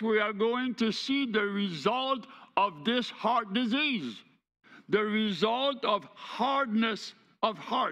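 A man's raised, projected voice at a very slow pace, with ordinary pitch variation, against a quiet background. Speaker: preacher. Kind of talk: sermon. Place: church.

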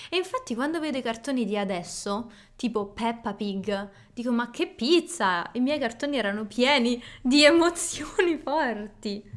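A woman speaks at a fairly slow pace in a high pitch with lively intonation. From Rome, Italy; Italy. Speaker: podcast co-host, Italian teacher. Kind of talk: casual chat. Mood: cheerful, animated. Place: home room. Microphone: studio mic.

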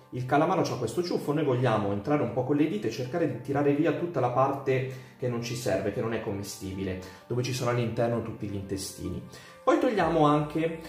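Faint music plays in the background and audible room echo surrounds the voice. A man talks at a fairly quick pace with ordinary pitch variation. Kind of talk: cooking tutorial. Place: kitchen. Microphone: camera far.

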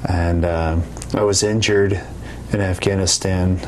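With a General American accent, a man speaks at a very deep, low pitch and fairly even intonation over light background noise. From Colorado. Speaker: soldier. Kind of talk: interview. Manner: halting. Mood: calm, matter-of-fact. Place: office.

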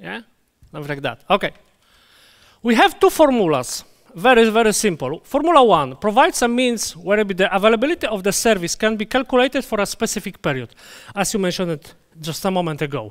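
Speaking fairly quickly in a Polish accent, a man uses a high voice with very wide pitch swings over a quiet background. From Poland. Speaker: database conference speaker; conference presenter. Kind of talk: conference talk; technical lecture. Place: hall.

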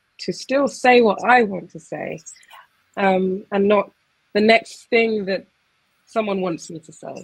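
With a southern English accent, a woman speaks at a fairly slow pace against a quiet background. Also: medium pitch for a woman, ordinary pitch variation, big swings in loudness. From Essex, England; England. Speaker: poet. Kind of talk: casual conversation; reading aloud. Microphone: video call.

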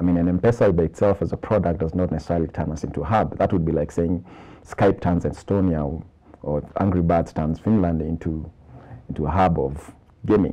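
A man's very deep, low voice at a fairly quick pace with fairly even intonation. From Kenya. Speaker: tech startup incubator executive. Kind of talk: TV interview. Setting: TV studio. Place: studio. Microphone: lapel.

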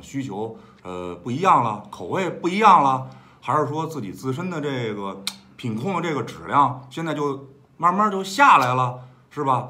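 A man is speaking. His pitch swings very widely. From Beijing. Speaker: guest friend chatting about food. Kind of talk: casual chat. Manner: hesitant, mild-mannered. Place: home room. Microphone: phone near.

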